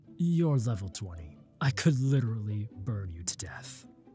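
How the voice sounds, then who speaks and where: Male put-on character voice at a medium pitch and moderate pace, with clear music in the background. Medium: dub.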